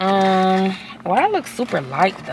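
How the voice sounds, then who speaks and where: A woman's animated, medium-pitched voice amid noticeable background noise. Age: 30s. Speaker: lifestyle vlogger. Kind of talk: casual vlog chat. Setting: in a car. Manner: loud.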